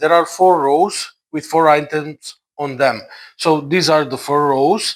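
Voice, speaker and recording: In a very clean recording with a silent background, a man with a non-native accent speaks at a fairly high pitch. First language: not English. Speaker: board game reviewer. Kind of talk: tutorial. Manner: halting, many fillers.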